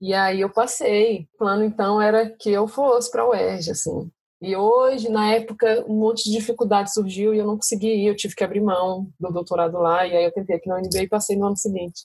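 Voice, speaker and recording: Talking fairly quickly with hardly any pauses, a woman sounds somewhat breathy and keeps her intonation fairly even. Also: medium pitch for a woman. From Brasília, Brazil. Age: 30s. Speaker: doctoral student. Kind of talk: casual chat.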